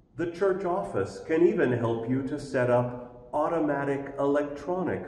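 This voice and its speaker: Swinging very widely in pitch, a man talks at a fairly slow pace with audible room echo. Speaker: pastor. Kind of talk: church announcements. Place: church.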